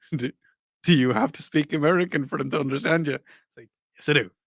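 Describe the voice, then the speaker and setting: The sound is dry and close with no echo. A man speaks at a fairly quick pace with ordinary pitch variation. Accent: Irish. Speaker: podcast co-host. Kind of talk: casual chat.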